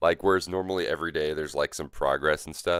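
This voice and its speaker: With music in the background, a man speaks in a dry, close sound with no echo. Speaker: gaming streamer. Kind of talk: live gameplay stream chat. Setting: livestream. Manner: casual, hesitant with fillers.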